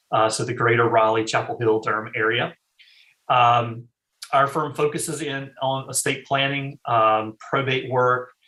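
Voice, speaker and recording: Speaking in a North Carolina accent, a man uses a medium pitch and a bright, sharp tone. His pace is fairly slow, and his intonation stays fairly even. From eastern North Carolina. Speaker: estate planning attorney. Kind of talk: interview. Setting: call.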